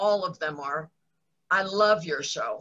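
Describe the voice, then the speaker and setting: The speaker is female, with a medium-pitched voice. Her pitch moves in an ordinary way. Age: 60s. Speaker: television makeup artist. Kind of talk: casual chat.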